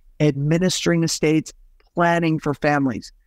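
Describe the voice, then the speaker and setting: This man has an ordinary speaking voice, pitched fairly high, with ordinary pitch variation. The sound is dry and close, with no echo. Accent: American. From Utah. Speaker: estate planning lawyer. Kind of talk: interview.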